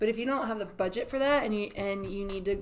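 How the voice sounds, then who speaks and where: A woman talks in a normal speaking voice of medium pitch. Her pitch variation is ordinary. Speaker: marketing podcast host. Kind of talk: casual chat.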